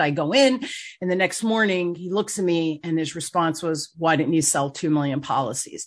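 This woman has a plain, everyday voice. It sits fairly low in pitch, with ordinary variation. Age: 60s. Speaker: podcast host and sales coach. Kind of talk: interview, casual business chat.

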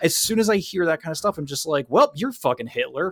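Against noticeable background noise with a dry, close sound and no echo, a man speaks very fast in a high pitch with very wide pitch swings. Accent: American. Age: 30s. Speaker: podcast host. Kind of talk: casual chat.

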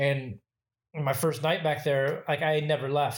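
A man with an American accent speaks in a somewhat breathy, fairly high voice, recorded very cleanly against a silent background. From Michigan, US Midwest. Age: 40s. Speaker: bartender and cocktail photographer. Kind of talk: casual interview. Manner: filler-heavy, lots of 'you know' and 'um'.

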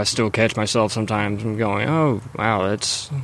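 A man's normal speaking voice at medium pitch, with ordinary pitch variation. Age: 20s. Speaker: former prisoner. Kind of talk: interview.

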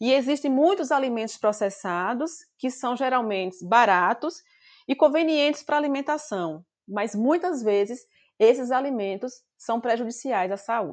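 Fairly slow speech with lively intonation over a quiet background. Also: woman, high pitch for a woman. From Brazil, Bahia semi-arid interior. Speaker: nutrition professor. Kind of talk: interview.

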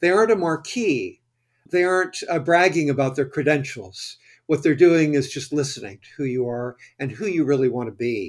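On a very clean recording with a silent background, a man with an American accent speaks at a moderate pace and fairly high pitch. His intonation is lively, and his loudness swings widely. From US Midwest, Ohio River Valley. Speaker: financial planning educator and author. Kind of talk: interview. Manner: halting, with many fillers.

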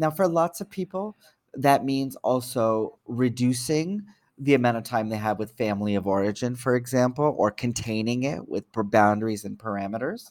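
A man with an unremarkable speaking voice talks at medium pitch and a moderate pace with lively intonation in a very clean recording over a silent background. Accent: Canadian. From Canada, Toronto. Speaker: psychotherapist and social worker. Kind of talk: interview.

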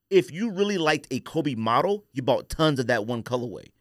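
Animated in tone, a man speaks at a fairly quick pace with lively intonation. The recording is very clean and the background silent. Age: 40s. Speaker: podcast host. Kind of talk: casual chat. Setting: studio.

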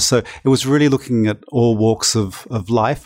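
This man has an Australian accent. His voice sits at a medium pitch. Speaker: artist. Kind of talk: interview chat. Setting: art gallery with background noise.

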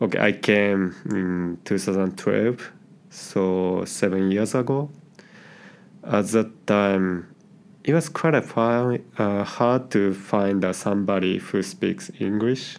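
A man's fairly low voice in a Japanese accent, very slow and very even in loudness, with ordinary pitch variation. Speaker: IT worker. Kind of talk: interview. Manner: halting.

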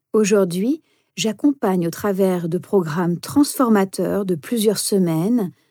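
Very slowly, a woman speaks at medium pitch in a dark, mellow tone with ordinary pitch variation. The recording is very clean, with a silent background. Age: 40s. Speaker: meditation instructor and coach. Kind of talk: podcast self-introduction monologue.

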